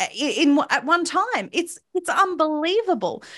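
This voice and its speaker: The speaker is a woman with an Australian accent. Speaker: activist commentator. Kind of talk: interview. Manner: impassioned.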